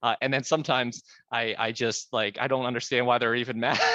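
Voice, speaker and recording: At a very fast pace, a man speaks at a medium pitch. His tone is bright and sharp. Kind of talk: interview. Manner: animated; halting, repetitive stammers.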